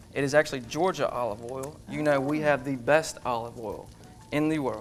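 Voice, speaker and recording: Fairly even intonation marks this man's speech. His pitch is fairly high, and he has a strong Southern accent. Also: moderate pace. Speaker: chef. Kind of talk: cooking demonstration.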